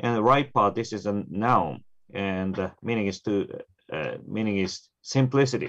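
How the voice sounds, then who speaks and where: Spoken at a fairly slow pace with a Japanese accent, the voice shows ordinary pitch variation against a quiet background. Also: man, fairly low pitch for a man. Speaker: Zen Buddhist priest. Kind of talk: presentation and panel discussion. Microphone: video call.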